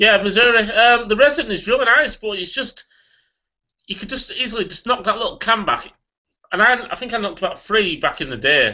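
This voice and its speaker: Against a quiet background, a man speaks at a fairly quick pace in a Yorkshire accent, his pitch extremely high with ordinary variation. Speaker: beer reviewer. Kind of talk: casual chat. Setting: video call. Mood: relaxed, chatty. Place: home room. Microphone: webcam.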